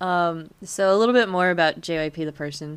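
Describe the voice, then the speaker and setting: In a very clean recording with a silent background, a woman talks at a fairly low pitch. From US. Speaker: podcast co-host. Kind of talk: casual chat.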